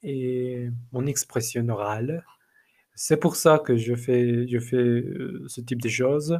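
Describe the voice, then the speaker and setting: This man has a non-native accent. He talks at a very slow pace. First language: not French (speaking French). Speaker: language learner, teacher. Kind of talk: solo podcast monologue. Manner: halting, many repetitions and fillers.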